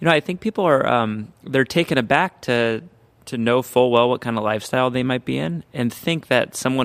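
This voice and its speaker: Heard with a dry, close sound and no echo, a man talks in a normal speaking voice at a moderate pace and medium pitch. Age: 30s. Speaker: pastor and podcast host. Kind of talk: casual interview chat.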